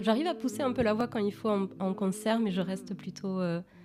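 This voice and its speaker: At a moderate pace, a woman talks with a medium pitch that varies in an ordinary way. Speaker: singer-songwriter. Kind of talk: interview.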